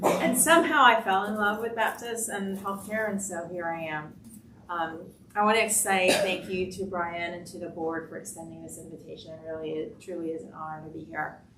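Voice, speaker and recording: At a moderate pace and with ordinary pitch variation, the voice comes through with audible room echo and noticeable background noise. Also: woman, medium pitch for a woman, big swings in loudness. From Cuba, raised in US (Florida) from age six. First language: Spanish. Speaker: healthcare executive. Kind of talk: panel discussion.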